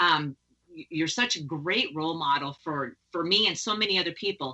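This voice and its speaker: A woman's normal speaking voice, fairly slow, with ordinary pitch variation. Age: 50s. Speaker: podcast host. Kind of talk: interview conversation.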